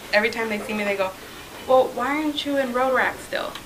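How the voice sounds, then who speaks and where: A woman with an American accent speaks at a high pitch with ordinary pitch variation. Noticeable background noise and audible room echo are present. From Southern California, raised from early childhood after moving from Mexico. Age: 20s. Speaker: guest speaker, club president-elect. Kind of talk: informal talk to a club meeting. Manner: hesitant, many fillers.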